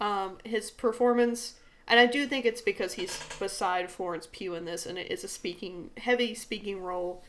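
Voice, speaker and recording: Her voice is medium in pitch with ordinary pitch variation as the woman speaks at a moderate pace with big swings in loudness. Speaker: podcast co-host. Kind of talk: casual chat.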